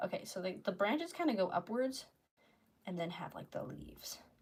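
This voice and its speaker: With lively intonation, a woman speaks fairly quickly in a somewhat breathy voice at medium pitch. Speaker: art streamer. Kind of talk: casual livestream chat while painting. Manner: fast; rambling filler-heavy.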